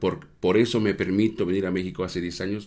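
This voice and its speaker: This man's voice sits fairly low in pitch. He speaks at a fairly quick pace. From Mexico. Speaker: restaurant owner. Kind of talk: casual interview.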